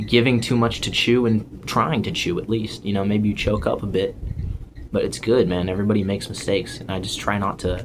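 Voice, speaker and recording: Over noticeable background noise, a man with a fairly low voice talks at a fairly quick pace with ordinary pitch variation. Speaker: YouTuber. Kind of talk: casual vlog rant. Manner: halting.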